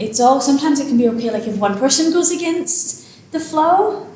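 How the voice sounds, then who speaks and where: A woman in a Glasgow accent, high-pitched with very wide pitch swings, amid audible room echo and noticeable background noise. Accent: Scottish (Glasgow). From Scotland, Glasgow. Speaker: author. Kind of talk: casual interview.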